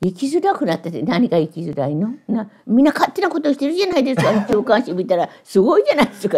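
A woman talks at a very fast pace with hardly any pauses. Her pitch swings very widely. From Tokushima, Japan. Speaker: novelist and Buddhist nun. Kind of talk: interview answer. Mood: lively, amused, gesturing. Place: home room.

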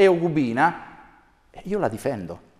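A man takes a fairly slow pace, with quiet in the background. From Umbria. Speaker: mayoral candidate, former mayor; candidate, former mayor. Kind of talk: TV interview. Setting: TV studio. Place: studio. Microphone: lapel.

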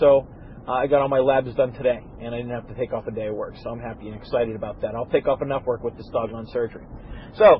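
A man talks at a very fast pace in a monotone, flat intonation, with a dry sound with no echo and light background noise. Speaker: podcast host. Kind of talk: casual podcast monologue. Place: car.

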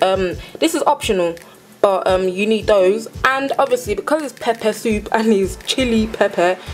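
A woman talks with ordinary pitch variation while faint music plays in the background. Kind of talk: tutorial.

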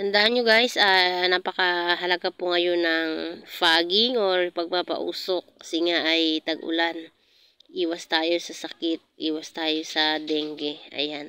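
Bright, sharp speech at a very slow pace keeps a fairly even intonation, with dry sound and no echo. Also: woman, fairly low pitch for a woman. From Philippines. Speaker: vlogger. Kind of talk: casual vlog narration. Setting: outdoors in garden. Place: garden.

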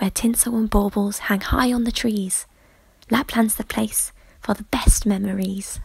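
A woman talks at a fairly slow pace in a fairly high, somewhat breathy voice with a playful, warm tone. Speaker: voice actor. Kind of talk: voice reel of commercial narration. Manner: polished, bright and upbeat, brisk ad-read delivery.

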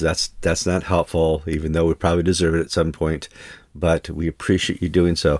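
Moderate-paced speech from a man, quiet background. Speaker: show host. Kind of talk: podcast host intro. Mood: cheerful, joking. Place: home room.

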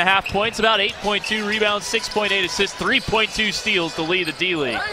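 A man with a high pitch raises and projects his voice at a fairly slow pace, the sound dry with no echo amid noticeable background noise. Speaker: basketball play-by-play announcer. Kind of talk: live commentary. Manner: excitable. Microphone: headset.

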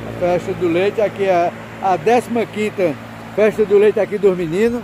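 The speech comes at a fairly slow pace, with a dry sound free of echo but noticeable background noise. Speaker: commentator. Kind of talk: commentary. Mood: upbeat, promotional. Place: farm machine. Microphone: phone near.

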